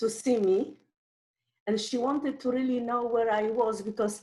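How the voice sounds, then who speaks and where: A woman with a Polish accent speaks at a fairly high pitch. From Poland. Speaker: Holocaust survivor. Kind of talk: testimony. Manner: halting.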